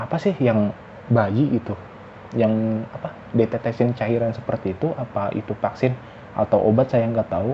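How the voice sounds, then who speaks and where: Noticeable background noise sits behind this voice. A man talks at a medium pitch. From West Java, Indonesia. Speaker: vlogger. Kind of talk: casual monologue vlog. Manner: halting, self-correcting.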